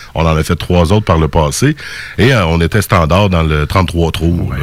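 Ordinary pitch variation in a Quebec accent, with noticeable background noise. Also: man. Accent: Québécois French. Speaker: radio host. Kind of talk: casual chat.

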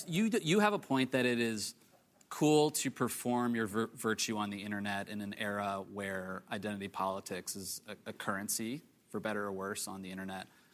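On a very clean recording with a silent background, a man speaks in a plain, everyday voice at a moderate pace, fairly low in pitch with ordinary variation. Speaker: political journalist. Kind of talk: panel discussion.

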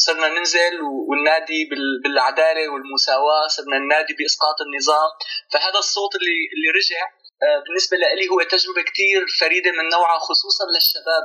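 At a moderate pace, a man with a high pitch speaks with ordinary pitch variation and very even loudness. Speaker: researcher and documentary filmmaker. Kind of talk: interview.

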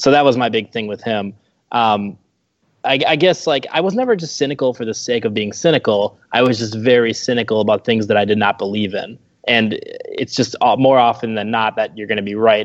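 A man's medium-pitched voice at a moderate pace, with ordinary pitch variation and an ordinary speaking voice. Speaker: former blogger, guest. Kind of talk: casual chat.

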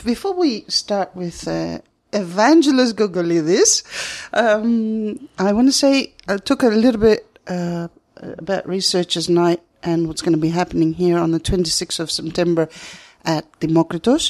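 A woman with a Greek accent speaks at a moderate pace and medium pitch, with lively intonation. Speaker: radio host. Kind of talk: interview. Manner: halting.

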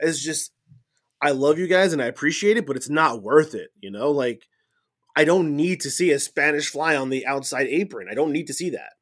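With an ordinary speaking voice, a man talks at a fairly quick pace, his fairly high pitch showing ordinary pitch variation. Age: 30s. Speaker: wrestling podcast co-host. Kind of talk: casual chat. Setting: remote recording.

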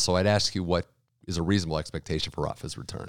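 A man's very deep, low voice with fairly even intonation, dry and close with no echo, in a very clean recording with a silent background. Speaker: podcast host. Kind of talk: interview for a tennis podcast. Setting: studio.

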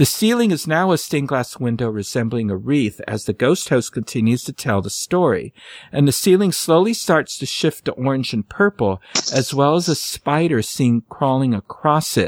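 A man talks in a theatrical tone at a moderate pace, his pitch swinging very widely. The sound is dry and close, with no echo. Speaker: history segment presenter. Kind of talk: poem performed, reading a Christmas story aloud in rhyme. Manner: storyteller cadence, steady sing-song rhyme reading, theatrical; cheerful, playful.

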